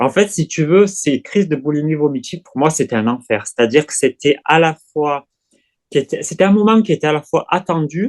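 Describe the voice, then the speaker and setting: Lively intonation marks this man's fairly high voice. He keeps a moderate pace. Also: dry, close sound with no echo. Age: 40s. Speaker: eating disorder recovery client. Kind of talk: testimony. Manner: halting.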